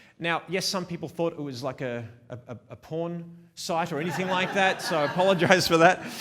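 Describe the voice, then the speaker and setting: A man with an Australian accent speaks at a fairly quick pace in a high voice and an animated tone, with ordinary pitch variation and noticeable background noise. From Melbourne, Australia. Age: 40s. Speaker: wedding photographer. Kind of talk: conference talk. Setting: stage with small live audience, also streamed.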